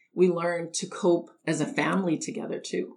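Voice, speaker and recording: A woman with a fairly low pitch talks with vocal fry. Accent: Canadian. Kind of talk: personal testimony.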